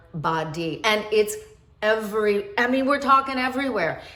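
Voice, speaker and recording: A woman with lively intonation, audible room echo and music in the background. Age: 60s. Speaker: anti-aging skincare expert, video host. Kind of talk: tutorial.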